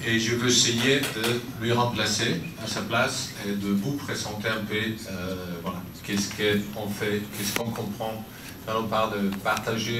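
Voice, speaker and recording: A man's fairly low voice with a non-native accent, fairly slow and fairly even in intonation, amid noticeable background noise and audible room echo. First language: not French (speaking French). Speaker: humanitarian aid official. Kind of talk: conference talk. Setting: conference with audience. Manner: halting, many fillers.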